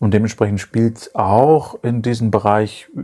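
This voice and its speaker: Here a man is speaking. His pitch is fairly low. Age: 30s. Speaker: podcast co-host. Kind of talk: casual chat. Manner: halting.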